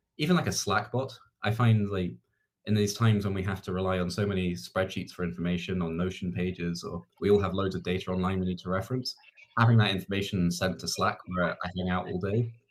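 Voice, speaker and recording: A man talks at a very fast pace. His very deep, low voice shows ordinary pitch variation. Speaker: startup community lead. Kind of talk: panel Q&A. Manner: hesitant, filler-heavy.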